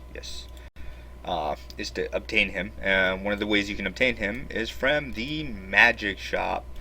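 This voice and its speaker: A man speaks at a fairly slow pace. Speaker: gaming YouTuber. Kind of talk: game tutorial. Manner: hesitant, many fillers.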